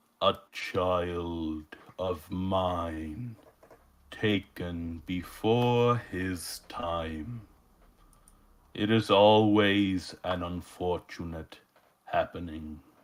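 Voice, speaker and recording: In a put-on character voice with a very deep, low pitch, a man speaks in a solemn tone at a very slow pace with fairly even intonation, on a very clean recording with a silent background. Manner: solemn, ominous.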